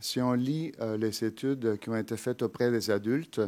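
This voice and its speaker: A man with a Spanish accent, medium in pitch and fairly even in intonation at a fairly slow pace, in a very clean recording with a silent background. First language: Spanish (speaking French). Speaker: psychology professor. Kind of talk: lecture. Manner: halting, many filler hesitations.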